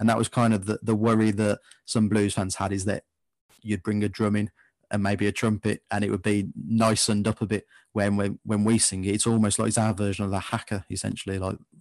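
With an English Midlands accent, a man speaks at a fairly quick pace and fairly low pitch in a monotone, flat intonation, with a dry, close sound with no echo and a quiet background. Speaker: football fan podcaster. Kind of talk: casual interview chat.

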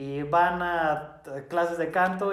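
A man's fairly high voice with fairly even intonation, set against audible room echo and noticeable background noise. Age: 20s. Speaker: podcast host. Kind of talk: casual chat.

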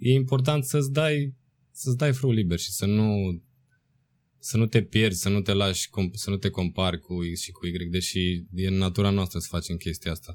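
On a very clean recording with a silent background, a man with a normal speaking voice and fairly low pitch talks at a moderate pace with lively intonation. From Romania, provincial town. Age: 20s. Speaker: dancer and choreographer. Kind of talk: casual interview.

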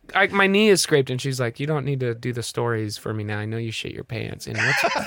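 Against noticeable background noise, a man with an American accent and a medium pitch talks at a fairly quick pace with hardly any pauses. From Nebraska, US Midwest. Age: 30s. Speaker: comedian. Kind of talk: casual chat. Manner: animated.

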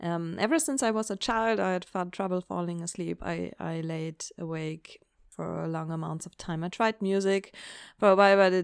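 A woman with a non-native accent speaks at a fairly slow pace and a fairly low pitch. The recording is very clean, with a silent background. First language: not English. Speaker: book podcaster. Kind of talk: casual solo monologue. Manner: animated.

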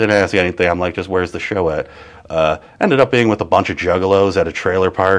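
A man with an American accent rushes along at a very fast pace in a fairly low pitch. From Wisconsin, Kenosha. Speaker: comedian and comedy show producer. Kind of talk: casual chat. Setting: live-streamed interview.

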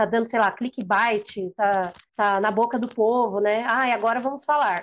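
A woman at a fairly high pitch talks at a moderate tempo in an unremarkable speaking voice. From Brazil, Santo André (ABC Paulista). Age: 20s. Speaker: journalist and photographer. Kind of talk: interview conversation.

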